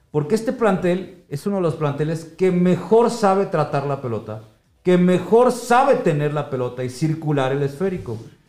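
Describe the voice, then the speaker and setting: Animated in tone, a man speaks at a high pitch with very wide pitch swings. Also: moderate pace. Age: 50s. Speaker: podcast host. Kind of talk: football analysis chat.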